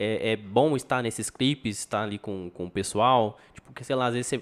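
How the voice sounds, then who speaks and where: A man talks at a fairly quick pace. He has an unremarkable speaking voice with ordinary pitch variation. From São José do Rio Preto, Brazil. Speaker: podcast host. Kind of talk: casual chat.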